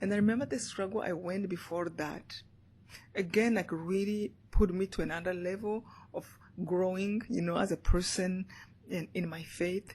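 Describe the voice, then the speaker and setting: A woman with a Rwandan accent talks at a moderate pace in a medium pitch, somewhat breathy and with fairly even intonation. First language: Kinyarwanda. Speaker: motivational speaker and author. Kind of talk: interview answer.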